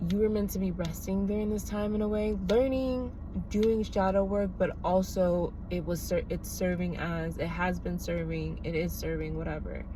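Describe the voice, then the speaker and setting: A soft-spoken woman at a moderate pace with hardly any pauses, amid audible room echo and noticeable background noise. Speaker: tarot reader. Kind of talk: tarot reading. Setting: in a car.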